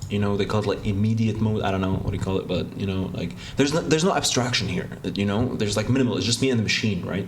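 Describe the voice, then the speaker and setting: A man's fairly low voice at a very fast pace with hardly any pauses, ordinary pitch variation, noticeable background noise and audible room echo. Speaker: game developer. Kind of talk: casual devlog narration. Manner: hesitant, many fillers.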